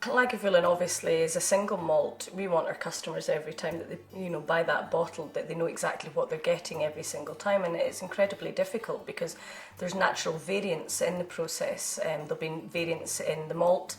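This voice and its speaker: A woman talks very fast, and noticeable background noise is audible. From Islay, Scotland. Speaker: distillery manager. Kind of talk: interview.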